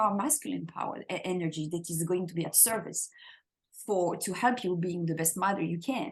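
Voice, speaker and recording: A woman speaks with a French accent at a moderate pace. Her voice is somewhat breathy. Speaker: spiritual teacher. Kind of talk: interview conversation. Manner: halting, many repeated words.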